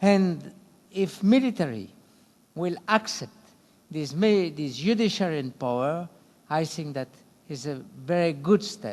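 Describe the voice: With a fairly high pitch and slightly mellow tone, a man speaks at a fairly slow pace using lively intonation.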